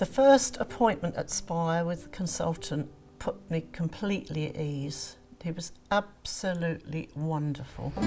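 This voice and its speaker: With music playing behind her, a woman speaks at a fairly slow pace, her fairly low voice carrying lively intonation. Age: 70s. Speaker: patient, retired midwife. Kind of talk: testimonial interview.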